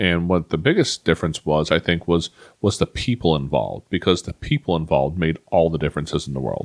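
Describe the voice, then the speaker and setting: A man with a very deep, low pitch and vocal fry speaks at a fairly quick pace with ordinary pitch variation. The sound is dry and close with no echo. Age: 40s. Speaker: podcast host. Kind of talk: personal monologue. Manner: halting.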